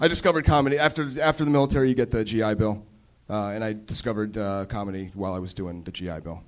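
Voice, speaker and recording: A man talks at a very fast pace in a fairly low pitch. His loudness swings widely. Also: lively intonation. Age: 30s. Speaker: stand-up comedian, military veteran. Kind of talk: stand-up. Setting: stage with live audience.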